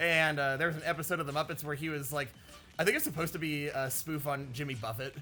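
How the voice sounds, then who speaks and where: Music plays in the background as a man talks at a very fast pace. His voice sits fairly high. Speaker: gaming YouTuber. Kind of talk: casual chat. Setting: playing a video game while recording. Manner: animated.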